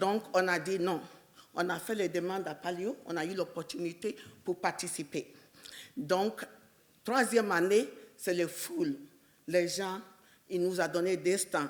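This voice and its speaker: Long, frequent pauses mark a woman's very slow delivery at medium pitch with ordinary pitch variation. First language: English (speaking French). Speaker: entrepreneur. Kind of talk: personal business story at a panel event.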